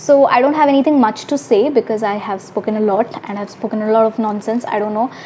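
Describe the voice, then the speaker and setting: Words come at a very fast pace in an Indian accent, with hardly any pauses and ordinary pitch variation. Noticeable background noise can be heard. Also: woman, fairly high pitch for a woman. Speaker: YouTuber. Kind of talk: vlog advice talk. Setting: hostel room, self-recorded.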